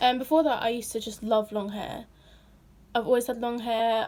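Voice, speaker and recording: A woman with a British accent and a fairly high pitch is heard in a very clean recording with a silent background. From Britain. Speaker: vlogger. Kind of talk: casual Q&A vlog. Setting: at home in her room.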